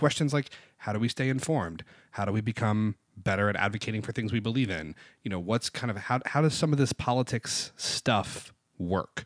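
Against a quiet background, a man with an American accent talks fairly quickly at a medium pitch with ordinary pitch variation. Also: dry, close sound with no echo. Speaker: podcast co-host. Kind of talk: casual political chat. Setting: studio. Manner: fast.

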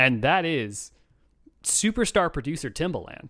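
In an American accent, the voice moves at a fairly slow pace with lively intonation and a bright, sharp tone. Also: man. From Chicago. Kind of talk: casual chat.

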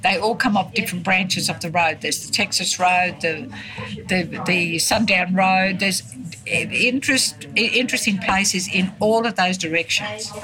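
A woman speaks with a rural Queensland accent. Noticeable background noise runs behind her. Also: medium pitch for a woman, ordinary pitch variation, moderate pace. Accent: rural Queensland Australian. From Queensland, Australia (Granite Belt, Ballandean). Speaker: retired telephonist and former festival queen. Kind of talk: interview, reminiscing. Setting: cafe. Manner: halting, repetitive.

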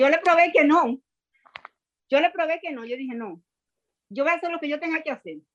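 A woman with a high pitch speaks at a fairly quick pace, with long, frequent pauses. Her loudness swings widely. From Dominican Republic, Santo Domingo. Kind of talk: testimony.

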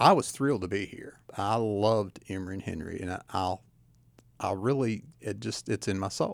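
In a very clean recording with a silent background, a man with an Appalachian accent talks at a moderate pace in a fairly low voice with ordinary pitch variation. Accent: Appalachian Southern US. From Southwest Virginia (Tazewell). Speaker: county administrator. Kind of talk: radio interview. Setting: radio studio.

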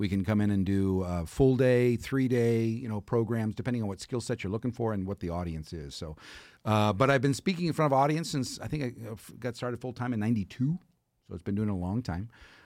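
Very fast, lively speech from a man at medium pitch with an American accent, on a very clean recording with a silent background. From Texas. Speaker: motivational speaker. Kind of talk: casual chat.

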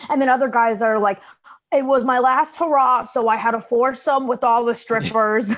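At a moderate pace, a woman talks in a high voice with fairly even intonation and very even loudness. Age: 20s. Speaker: comedian. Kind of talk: casual chat.

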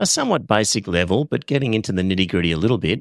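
On a very clean recording with a silent background and a dry, close sound with no echo, a man with an Australian accent speaks at a fairly low pitch with ordinary pitch variation. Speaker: art supplies podcast host. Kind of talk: casual educational chat.

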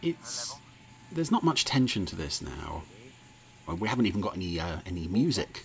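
Speaking at a fairly quick pace, a man with a fairly low pitch makes very wide pitch swings and takes long, frequent pauses. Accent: English. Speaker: podcast host reviewing TV episodes. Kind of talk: casual commentary. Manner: hesitant, full of fillers; animated.

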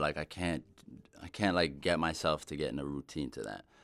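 On a very clean recording with total background silence, a man talks at a moderate pace with vocal fry. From Israel. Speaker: musician and music producer. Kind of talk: casual interview chat. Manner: halting, many fillers.

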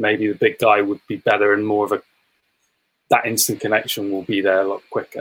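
A fairly quick pace from a man in an English accent. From England. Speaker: sports content producer. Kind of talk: casual chat. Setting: video call.

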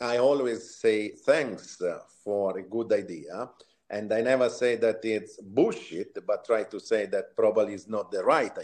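Someone speaks at a fairly slow pace in an Italian accent. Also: man. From Italy, Tuscany. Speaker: retail executive. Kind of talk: interview.

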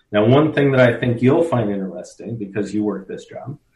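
A man's somewhat breathy voice carries an American accent, sitting at a medium pitch and moving through ordinary pitch variation. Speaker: history professor. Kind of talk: casual interview explaining history.

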